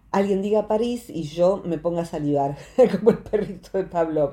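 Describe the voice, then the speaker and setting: With a plain, everyday voice, a woman speaks at a fairly low pitch and a moderate pace, using ordinary pitch variation. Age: 60s. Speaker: psychologist. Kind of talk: radio talk segment explaining psychology.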